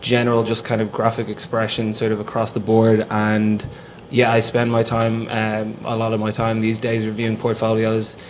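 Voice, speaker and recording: Against noticeable background noise, a man with a Dublin accent speaks at a moderate pace in a monotone, flat delivery. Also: medium pitch for a man. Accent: Irish (Dublin). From Ireland, Dublin. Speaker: lead designer at a branding agency. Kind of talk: panel discussion.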